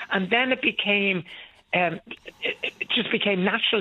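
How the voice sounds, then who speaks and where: In an Irish accent, a man talks at a high pitch. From Ireland. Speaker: pantomime actor. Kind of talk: phone-in call. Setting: phone call.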